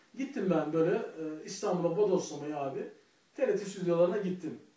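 Audible room echo surrounds this man. He speaks at a moderate pace. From Turkey, Balıkesir (rural Aegean/Marmara); Turkey. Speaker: comedian; comedian telling his story. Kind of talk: personal monologue to camera. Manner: hesitant, many filler sounds. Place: home room. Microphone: camera far.

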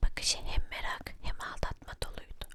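At a fairly slow pace, the words come out in a whisper. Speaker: storyteller. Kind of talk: ASMR story reading. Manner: whispered.

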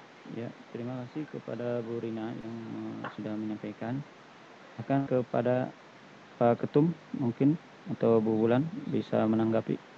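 Against noticeable background noise, a man speaks at a moderate pace with fairly even intonation, big swings in loudness and long, frequent pauses, in a dry sound with no echo. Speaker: meeting moderator. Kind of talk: online meeting. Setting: video call. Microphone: video call.

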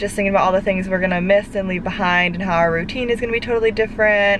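Over noticeable background noise, a woman speaks in a dry sound with no echo. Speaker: parent vlogger. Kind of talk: casual vlog chat. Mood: nostalgic, a bit emotional. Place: car. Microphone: phone near.

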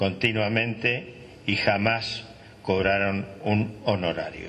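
A man's fairly low voice with fairly even intonation, amid noticeable background noise and audible room echo. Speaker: former football club director. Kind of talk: panel testimony.

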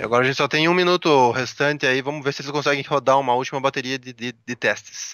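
This man talks at a very fast pace with hardly any pauses. His intonation is fairly even, and the sound is dry with no echo. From Brazil. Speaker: Brazilian tech journalist co-host. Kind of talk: live commentary. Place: hall. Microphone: headset.

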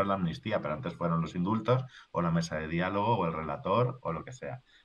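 A man at a moderate pace with lively intonation. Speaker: political journalist. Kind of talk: casual political discussion. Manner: halting, repetitive.

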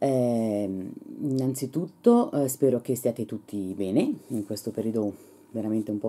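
Moderate pace from a woman, her pitch varying in an ordinary way. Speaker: beauty vlogger. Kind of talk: casual vlog chat. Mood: serious, thoughtful. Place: home room. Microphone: phone near.

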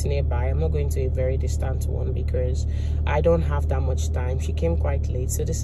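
There is music in the background as a woman speaks at a moderate pace. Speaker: lifestyle vlogger. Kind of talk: casual vlog chat. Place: car. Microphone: phone near.

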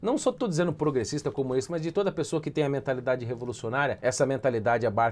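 This man has a medium-pitched voice and an animated tone. His pitch varies in an ordinary way. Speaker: political commentator. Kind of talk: opinion commentary. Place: home room. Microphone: lapel.

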